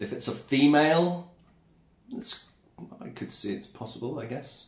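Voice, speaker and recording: A man with an English accent speaks at a moderate pace, his fairly high pitch carried by lively intonation. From England. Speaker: podcast co-host. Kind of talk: casual chat.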